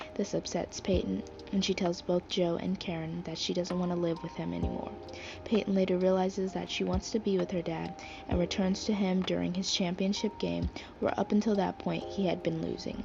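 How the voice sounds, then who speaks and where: Music plays behind a woman's voice. She talks at a fairly quick pace. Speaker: movie reviewer. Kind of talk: casual movie review to camera. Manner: fast.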